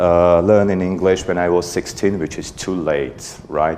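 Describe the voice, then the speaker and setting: Amid noticeable background noise and audible room echo, a man with an Armenian accent speaks at a fairly slow pace in a very deep, low voice. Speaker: conference speaker, parent raising bilingual kids. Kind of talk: conference talk. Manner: halting, many fillers.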